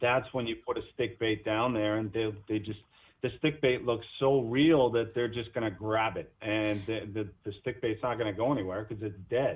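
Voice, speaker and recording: Here is a man with an unremarkable speaking voice at a medium pitch. He talks at a moderate pace with fairly even intonation. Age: 40s. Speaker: fisherman. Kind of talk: casual interview chat.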